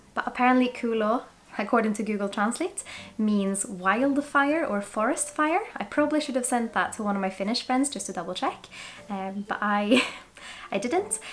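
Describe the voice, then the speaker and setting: Fairly quick and fairly high-pitched, a woman with a Swedish accent speaks with lively intonation. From Sweden. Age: 20s. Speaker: whisky reviewer. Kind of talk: product review vlog.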